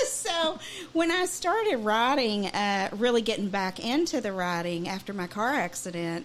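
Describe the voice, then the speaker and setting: The speaker has a Southern US accent and very wide pitch swings. Background noise is noticeable. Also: woman. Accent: Southern twang. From Kentucky. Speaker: singer-songwriter. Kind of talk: radio interview. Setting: studio.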